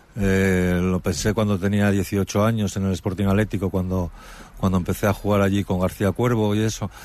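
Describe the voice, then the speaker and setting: Speaking at a moderate pace, a man delivers fairly low-pitched, monotone, flat speech at a very even loudness. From Spain, Asturias (Gijón area). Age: 50s. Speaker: retired footballer and author. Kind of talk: interview.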